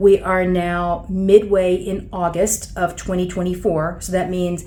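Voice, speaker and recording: Slowly, at a fairly unhurried pace, a woman speaks with a dark, mellow tone and monotone, flat intonation. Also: medium pitch for a woman. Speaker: ALS treatment practitioner. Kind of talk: interview host talk.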